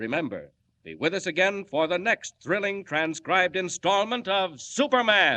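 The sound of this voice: Putting on a character voice, a man speaks at a fairly slow pace with a high pitch, big pitch swings and a bright, sharp tone.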